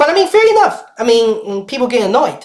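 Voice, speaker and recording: A woman with a non-native accent speaks in very wide pitch swings. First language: not English. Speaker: gaming streamer. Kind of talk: live stream commentary. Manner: halting, many fillers.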